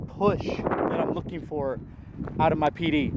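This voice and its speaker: A man talks in a fairly high pitch. His pitch variation is ordinary, and noticeable background noise runs underneath. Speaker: disc golf reviewer. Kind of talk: product review while throwing. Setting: outdoors in strong wind. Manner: loud, yelling over wind. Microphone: poor audio from wind.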